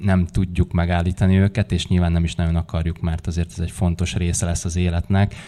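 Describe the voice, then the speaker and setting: A man talks at a fairly quick pace in a very deep, low pitch. His tone is dark and mellow, and his intonation monotone and flat. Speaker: gymnastics official and former gymnast. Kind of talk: panel discussion.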